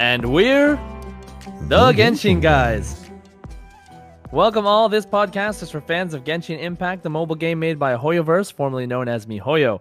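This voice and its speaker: Very wide pitch swings at a moderate pace, with long, frequent pauses and music in the background. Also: man, fairly high pitch for a man. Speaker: podcast host. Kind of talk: casual podcast talk. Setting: low-quality recording.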